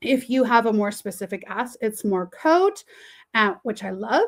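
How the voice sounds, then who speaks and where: A woman speaks in a Canadian accent at a moderate pace, with lively intonation. She has an ordinary speaking voice. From Canada. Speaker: teacher and webinar facilitator. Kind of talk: webinar tutorial. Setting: online webinar.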